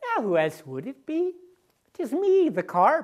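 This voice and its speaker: A high, put-on character voice at a fairly slow pace. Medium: stage play.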